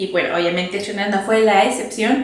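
A woman speaks in an animated tone with a Mexican accent at a fairly quick pace. Her pitch varies in an ordinary way, and audible room echo surrounds her voice. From Mexico. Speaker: video creator. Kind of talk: casual chat. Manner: animated, laughing often. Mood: cheerful, playful. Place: home room.

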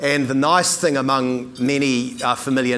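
A man's voice with fairly even intonation and a fairly slow pace. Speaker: keynote speaker. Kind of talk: keynote speech. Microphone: lapel.

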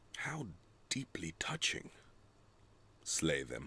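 On a very clean recording with a silent background, a man puts on a character voice and speaks at a fairly slow pace. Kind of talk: calm, casual about cruelty. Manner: soft, pleasant, matter-of-fact.

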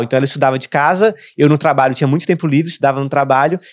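Against a quiet background, a man talks at a very fast pace. His pitch variation is ordinary. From Brazil, Brasília; Brazil. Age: 20s. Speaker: digital marketing entrepreneur; podcast guest. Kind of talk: casual interview chat. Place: studio. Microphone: studio mic.

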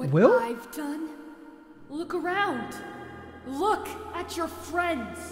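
A female-sounding put-on character voice speaks very slowly in an extremely high pitch, with long, frequent pauses. Clear music plays in the background. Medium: audio drama. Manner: desperate, pleading, bitter.

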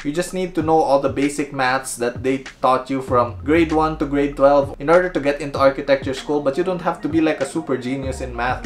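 Music plays in the background as a man speaks. His pace is fairly quick, with ordinary pitch variation. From Philippines. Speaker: YouTuber making architecture videos. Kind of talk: casual vlog Q&A. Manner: casual, joking, self-deprecating. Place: home room.

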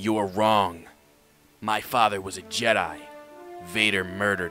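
A man with a fairly low pitch speaks at a moderate pace as faint music plays in the background. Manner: defiant, earnest.

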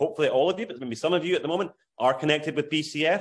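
With an Aberdeen accent, a man talks in a fairly high pitch and a lively intonation. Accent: Scottish (Aberdeen). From Scotland, Aberdeen. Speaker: charity fundraising consultant. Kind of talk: video call advice talk. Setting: video call.

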